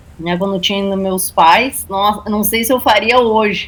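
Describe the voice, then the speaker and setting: The speaker has a strong gaúcho accent. Intonation stays fairly even. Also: woman. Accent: thick Alegrete gaúcho. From Brazil, Alegrete, Rio Grande do Sul. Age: 40s. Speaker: journalist and writer. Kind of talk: interview. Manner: halting.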